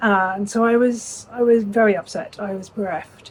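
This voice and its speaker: Somewhat breathy, a woman with an English accent speaks at a medium pitch with fairly even intonation. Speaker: legal knowledge management consultant. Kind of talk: prepared self-introduction talk.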